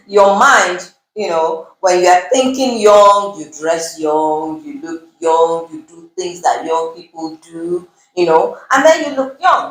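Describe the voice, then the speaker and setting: A woman at medium pitch talks very slowly with lively intonation and big swings in loudness. Music plays in the background. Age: 50s. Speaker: nutritionist. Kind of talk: interview.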